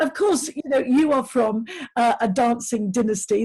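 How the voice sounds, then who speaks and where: A woman speaks with a Lincolnshire accent. Her pitch is fairly high. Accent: northern English (Lincolnshire). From northern England, Grimsby. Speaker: interviewer. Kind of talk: interview.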